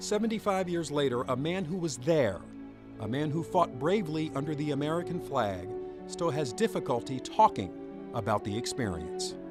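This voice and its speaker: A man speaks at a moderate pace with a fairly high pitch. His pitch swings very widely, and music plays in the background. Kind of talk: documentary narration.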